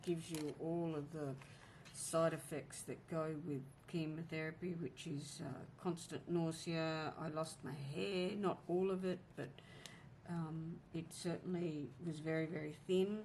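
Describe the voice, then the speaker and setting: A woman's very deep, low voice with fairly even intonation and audible room echo. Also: fairly slow pace. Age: 50s. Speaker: planner vlogger. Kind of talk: casual chat. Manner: halting.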